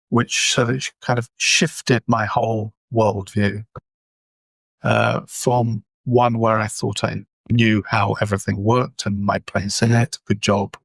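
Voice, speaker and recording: Vocal fry runs through a fairly slow, monotone, flat delivery in an English accent. The sound is dry and close with no echo. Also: man. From England. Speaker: communication trainer. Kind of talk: interview.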